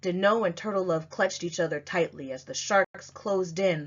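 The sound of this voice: At a moderate pace, a woman with a fairly low pitch talks with ordinary pitch variation.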